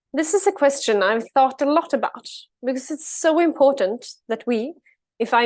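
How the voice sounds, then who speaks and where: A woman speaks with a Swedish accent. Her intonation is lively. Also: quiet background. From Sweden. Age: 20s. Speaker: climate advocate, keynote speaker. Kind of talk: keynote speech.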